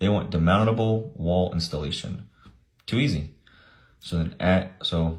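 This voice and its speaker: A man speaks with a very deep, low pitch and a somewhat breathy sound. His pitch variation is ordinary. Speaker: government contracting educator. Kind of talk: screen-share tutorial. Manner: casual, conversational.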